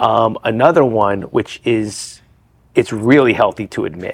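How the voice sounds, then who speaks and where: In an American accent, a man with an ordinary speaking voice talks at a moderate pace with ordinary pitch variation. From New Jersey, then Florida from about age 10. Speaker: addiction recovery speaker. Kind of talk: podcast interview.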